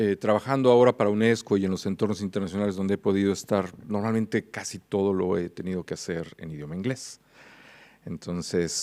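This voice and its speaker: A man with a Mexican accent speaks in a very deep, low voice with a dark, mellow tone. His intonation is fairly even, on a very clean recording with a silent background. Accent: Mexican Spanish, kept. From Mexico. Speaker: international policy expert, conference speaker. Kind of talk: conference keynote. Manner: hesitant, many fillers.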